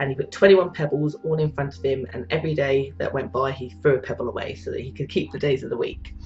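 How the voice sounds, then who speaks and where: A woman with a British accent talks at a very fast pace. Her pitch is very deep and low, and her intonation is lively. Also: hardly any pauses. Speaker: psychic and spiritual teacher. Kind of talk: live-stream talk. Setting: live online video stream. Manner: halting with frequent repetitions and fillers.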